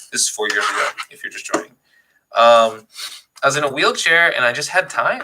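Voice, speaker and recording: Very fast and animated, a man delivers his words. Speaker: gaming YouTuber and console repairer. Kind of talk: casual live-stream tutorial. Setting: live stream with webcam.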